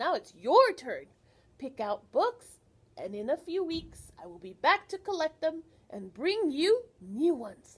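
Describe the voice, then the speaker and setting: In a put-on character voice, a woman speaks at a fairly slow pace, raised and projected, extremely high in pitch with very wide pitch swings. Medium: read story.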